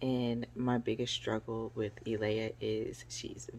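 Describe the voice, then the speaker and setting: Soft-spoken and very deep, low in pitch, a woman talks in a monotone, flat intonation with music in the background. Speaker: parenting vlogger. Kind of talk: casual chat.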